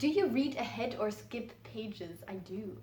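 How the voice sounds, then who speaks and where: With a Flemish accent, a woman speaks in a fairly high pitch with lively intonation, amid noticeable background noise and audible room echo. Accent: Flemish Dutch accent in English. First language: Dutch. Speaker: book youtuber. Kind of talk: casual vlog talk.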